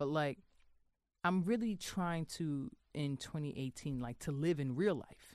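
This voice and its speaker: With a New York accent, a woman talks in a very deep, low voice at a fairly slow pace, her intonation lively. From New York, Queens. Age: 30s. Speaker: magazine editor. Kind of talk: casual chat.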